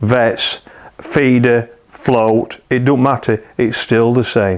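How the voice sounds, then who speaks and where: A man speaks with a Yorkshire accent and medium pitch. His pace is very slow. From northern England, South Kirkby, Yorkshire mining village. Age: 60s. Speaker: match angler. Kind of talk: interview answers in live-stream Q&A. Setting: live stream on Facebook.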